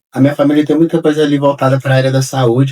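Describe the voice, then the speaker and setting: A man with a dark, mellow tone. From Brazil, Minas Gerais. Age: 30s. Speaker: architect. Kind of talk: interview.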